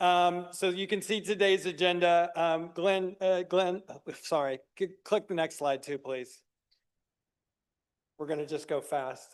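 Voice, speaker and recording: Loud and high-pitched, a man with an American accent speaks with fairly even intonation and long, frequent pauses. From US South, South Carolina (Greenville). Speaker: recovery program founder presenting to county committee. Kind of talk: presentation. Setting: public meeting room, live streamed. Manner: fast.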